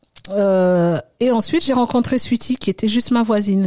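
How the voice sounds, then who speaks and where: The voice belongs to a woman with a dark, mellow tone. It sounds dry and close, with no echo. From Congo-Brazzaville and France (Oise region). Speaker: hairstylist. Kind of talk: interview. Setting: studio.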